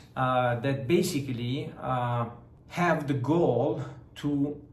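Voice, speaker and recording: Someone with an Italian accent speaks at a very slow pace. The room echo is audible. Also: man. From Southern Italy. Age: 30s. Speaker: fitness vlogger and entrepreneur. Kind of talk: vlog talk to camera. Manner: hesitant, many filler sounds.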